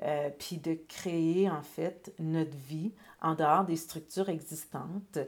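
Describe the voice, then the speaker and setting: A woman speaks very slowly at a fairly low pitch, in a monotone, flat intonation. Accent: Quebec. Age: 40s. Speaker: author and entrepreneur. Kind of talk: casual interview.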